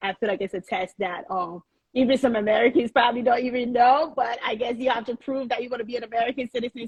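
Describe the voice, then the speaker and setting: With a slight Liberian accent, a woman talks very fast in a somewhat breathy voice, her pitch fairly high with ordinary variation, the sound dry and close with no echo. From Liberia (Monrovia), moved to US at 8. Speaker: chef and restaurant owner. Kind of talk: podcast interview. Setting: Instagram live.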